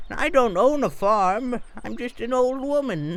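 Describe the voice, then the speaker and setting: A cartoonish character voice at a fairly high pitch and a fairly slow pace. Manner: meek, apologetic.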